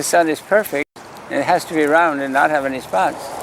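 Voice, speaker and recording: A man talks at a moderate pace with a fairly high pitch and ordinary pitch variation. Background noise is noticeable. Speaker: sidewalk astronomer. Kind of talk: outdoor public astronomy talk. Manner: calling out loudly to passersby.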